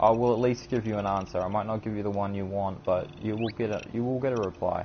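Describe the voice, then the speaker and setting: This man talks at a very fast pace in a fairly low pitch, his intonation monotone and flat. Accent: New Zealand. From New Zealand. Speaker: gaming streamer. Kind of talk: live gameplay stream commentary. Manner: usually fast-talking; occasional stutter.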